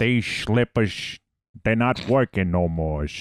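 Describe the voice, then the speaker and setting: A man does a put-on character voice in a Jersey accent, pitched fairly low and delivered at a fairly slow pace. The recording is very clean, with a silent background. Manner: angry, complaining.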